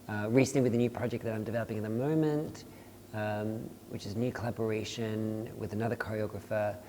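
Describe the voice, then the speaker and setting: Very fast and fairly even in intonation, a man with an Australian accent speaks at a medium pitch over noticeable background noise. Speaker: dance artist and choreographer. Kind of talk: casual panel conversation.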